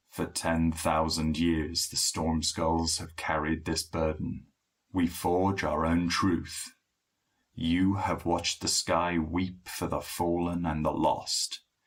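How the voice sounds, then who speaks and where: On a very clean recording with a silent background, a man puts on a resonant character voice, very deep and low, fairly slow and monotone. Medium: read story. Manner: measured, grave, economical.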